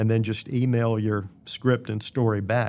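A man with an American accent and a normal speaking voice, medium in pitch, fairly slow, with fairly even intonation, in a very clean recording with a silent background. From Virginia, Danville. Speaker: retired TV sports director, radio host. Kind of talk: interview.

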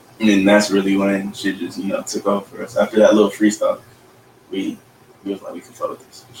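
The speech moves at a fairly quick pace with big swings in loudness. Noticeable background noise runs underneath. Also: man. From Rialto, California. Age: young. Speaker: rapper. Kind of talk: casual chat.

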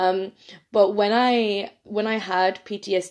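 A woman speaks at medium pitch with an Irish accent. Her intonation is monotone and flat. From Ireland. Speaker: podcast host, nutrition coach. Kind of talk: solo podcast monologue.

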